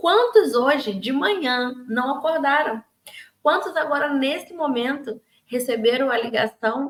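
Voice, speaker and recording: Her high-pitched voice has a warm tone as the woman talks at a fairly slow pace with ordinary pitch variation. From Rio de Janeiro, Brazil. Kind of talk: daily devotional talk to camera. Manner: warm, conversational.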